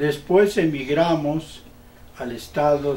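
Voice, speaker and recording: In a room with audible echo, a man with a fairly high pitch speaks at a very slow pace. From Mexico City, Mexico. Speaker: painter. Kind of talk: interview, life story. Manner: halting, with repetitions.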